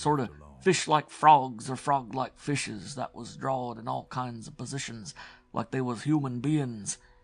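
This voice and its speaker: A man's wheezy, put-on character voice in a New England accent, medium in pitch with ordinary pitch variation, at a moderate pace with big swings in loudness over a quiet background. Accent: old rural New England dialect. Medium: read story. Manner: rambling, secretive, colloquial.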